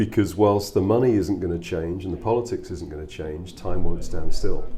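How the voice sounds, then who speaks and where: A man's very deep, low voice with a British accent, a moderate pace, ordinary pitch variation, big swings in loudness and noticeable background noise. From England. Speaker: musician with a corporate job. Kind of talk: interview.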